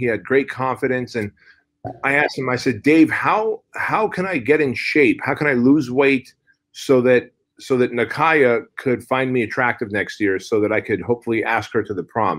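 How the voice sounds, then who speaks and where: On a very clean recording with a silent background, a man with a plain, everyday voice speaks at a medium pitch and a moderate pace. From Soviet Union, raised in US from age six. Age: 40s. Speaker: fitness entrepreneur and author. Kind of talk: podcast interview. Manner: casual, conversational.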